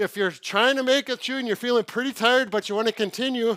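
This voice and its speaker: A man's raised, projected voice at an extremely high pitch, bright and sharp in tone, at a fairly quick pace with ordinary pitch variation, on a very clean recording with a silent background. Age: 60s. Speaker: physical therapist. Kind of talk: casual talk to camera. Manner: upbeat, slightly breathless while exercising.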